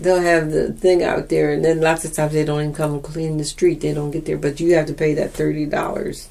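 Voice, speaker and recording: A woman speaks fairly quickly in a monotone, flat delivery with hardly any pauses, over noticeable background noise. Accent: American. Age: 80s+. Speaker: oral history interviewee. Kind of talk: oral history interview. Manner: halting.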